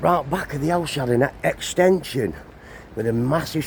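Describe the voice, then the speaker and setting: Speaking with a Cumbrian accent, a man with a fairly high voice talks at a moderate pace. His pitch varies in an ordinary way. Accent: northern English (Cumbrian). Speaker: travel vlogger. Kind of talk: walking vlog commentary. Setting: outdoors.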